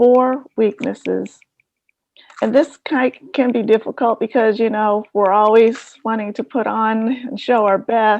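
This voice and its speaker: A soft-spoken woman talks at a very slow pace with a fairly high pitch. Her intonation is monotone and flat. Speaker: professional development trainer. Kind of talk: workshop lecture.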